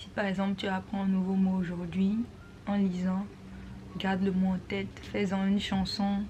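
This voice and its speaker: Delivered at a fairly slow pace, the speech has monotone, flat intonation and audible room echo. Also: woman. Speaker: vlogger. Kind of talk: tutorial. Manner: casual, mixing French and English.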